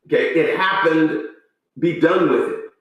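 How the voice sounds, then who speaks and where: Audible room echo surrounds a man as he speaks. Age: 60s. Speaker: pastor. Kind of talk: commentary monologue. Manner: halting.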